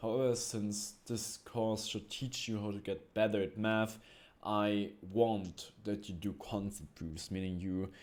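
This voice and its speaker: In a very clean recording with a silent background, a man with a non-native accent talks at a moderate pace in a fairly low voice. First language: not English. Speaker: math teacher. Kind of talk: tutorial. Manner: halting, with frequent fillers.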